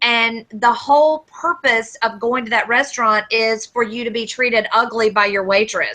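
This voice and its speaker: A woman with a Southern US accent, her bright, sharp tone set at a fairly high pitch, her moderate pace carrying hardly any pauses and fairly even intonation. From US South. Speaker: podcast co-host. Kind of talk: casual chat.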